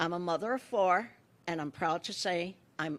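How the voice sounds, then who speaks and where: On a very clean recording with a silent background, a woman with a fairly low pitch and vocal fry talks at a moderate pace. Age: 70s. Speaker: retired administrator and patient. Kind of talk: press conference testimony.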